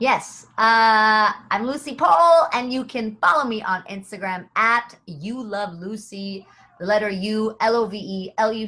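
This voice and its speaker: This woman has a normal speaking voice and an American accent. She speaks at a fairly slow pace with a fairly high pitch. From United States. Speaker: comedian and voice actor. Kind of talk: casual chat.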